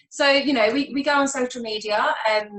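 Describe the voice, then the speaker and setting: A woman speaks with an English accent. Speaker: mental health nurse. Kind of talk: panel discussion. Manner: casual, with many fillers.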